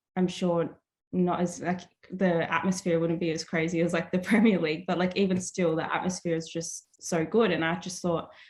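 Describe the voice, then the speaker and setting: A woman with an Australian accent talks at a moderate pace. Her fairly low voice has monotone, flat intonation. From Australia, Melbourne. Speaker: artist. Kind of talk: casual chat. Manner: many fillers (like, um).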